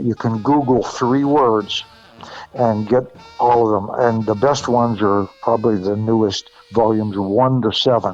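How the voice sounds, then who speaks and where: Music plays in the background as a man speaks at medium pitch. His pace is fairly slow and his intonation fairly even. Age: 80s+. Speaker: former radio DJ and record promoter. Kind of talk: casual interview. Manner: halting.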